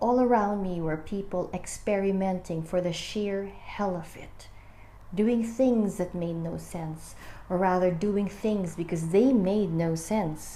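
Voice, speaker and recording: Speaking at a fairly slow pace, a woman has a dark, mellow, somewhat breathy tone at medium pitch with ordinary pitch variation. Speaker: book reader and amateur video maker. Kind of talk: casual book reading with commentary to camera.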